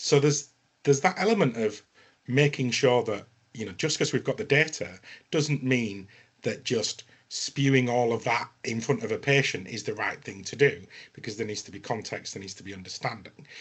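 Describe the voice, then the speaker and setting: A man with a northern English accent at medium pitch and a moderate pace, with ordinary pitch variation and big swings in loudness. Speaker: health tech business development executive. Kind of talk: panel webinar discussion. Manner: hesitant, many fillers.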